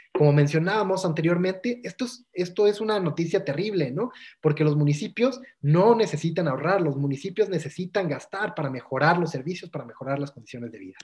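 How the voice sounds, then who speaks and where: A man with a Mexican accent talks at a fairly quick pace and a high pitch. His intonation is lively, and his loudness swings widely. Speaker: workshop instructor. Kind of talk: lecture. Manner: fast.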